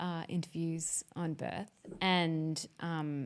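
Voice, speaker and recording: A woman with a fairly low pitch and an Australian accent. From Australia, Melbourne. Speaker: podcast host. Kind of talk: casual chat.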